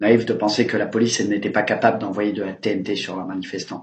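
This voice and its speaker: Talking at a fairly quick pace, a man keeps a fairly low pitch and fairly even intonation. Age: 20s. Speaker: injured protester. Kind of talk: testimony.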